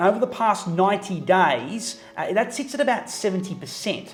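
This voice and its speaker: A high-pitched man with lively intonation over music in the background. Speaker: chief auctioneer. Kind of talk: interview answer.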